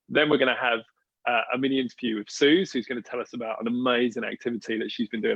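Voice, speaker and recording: His pace is very fast. The man speaks with an English accent. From England. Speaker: church leader hosting online gathering. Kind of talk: casual livestream hosting. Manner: animated.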